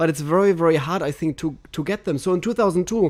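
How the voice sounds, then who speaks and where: In a German accent, a man talks with a high pitch. His pitch moves with ordinary variation. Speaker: podcast host, water sommelier. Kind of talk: interview podcast. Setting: studio with cameras.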